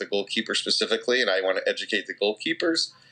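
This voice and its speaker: An American accent marks this man's fairly low voice, which has a bright, sharp tone. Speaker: goalkeeper coach and gear store owner. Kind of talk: interview. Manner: loud, projecting.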